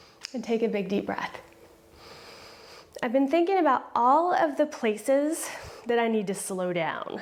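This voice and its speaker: The voice is calm in tone and fairly slow in pace, yet its pitch swings very widely. Noticeable background noise can be heard. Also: woman. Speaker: yoga teacher. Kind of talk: guided yoga class. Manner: slowed down, deliberate; calm, instructive.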